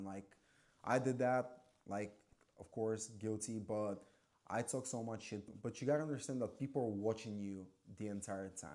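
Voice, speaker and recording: Fairly quick and fairly even in intonation, a man's voice sits fairly low and has a dark, mellow tone. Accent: non-native. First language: not English. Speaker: former waiter and bartender. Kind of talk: casual vlog monologue. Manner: casual, filler-heavy.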